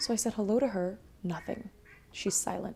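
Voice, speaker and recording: Her tone is dark and mellow. This woman's voice is somewhat breathy. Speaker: streamer. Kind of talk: casual chat. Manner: animated.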